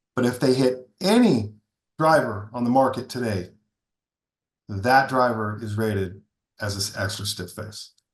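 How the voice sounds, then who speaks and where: Somewhat breathy and at a fairly slow pace, a man speaks at medium pitch with ordinary pitch variation and long, frequent pauses. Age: 60s. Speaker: golf equipment company founder, former long drive competitor. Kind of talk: podcast interview.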